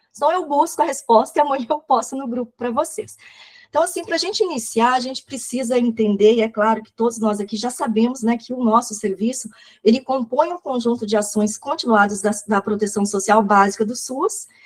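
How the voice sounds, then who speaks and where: A woman talks at a fairly quick pace in a high pitch. Her pitch varies in an ordinary way, while her loudness swings widely. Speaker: social service coordinator and educator. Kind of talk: online lecture. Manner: fast.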